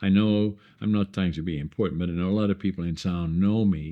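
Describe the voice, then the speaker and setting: A man speaks at a moderate pace. His pitch is very deep and low, with fairly even intonation. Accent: Dutch. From northeastern Netherlands. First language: Dutch. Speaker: entrepreneur. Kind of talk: casual chat. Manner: halting.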